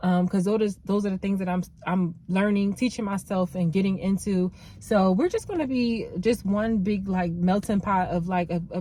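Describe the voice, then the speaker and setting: Speaking at a fairly quick pace, a woman has a medium pitch and fairly even intonation. Her tone is dark and mellow, and somewhat breathy. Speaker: nail tech vlogger. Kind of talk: vlog monologue. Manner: fast.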